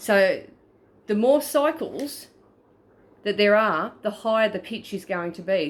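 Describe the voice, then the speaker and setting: A woman with an Australian accent speaks with lively intonation. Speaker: paranormal investigator. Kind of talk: tutorial. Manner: stuttering; casual.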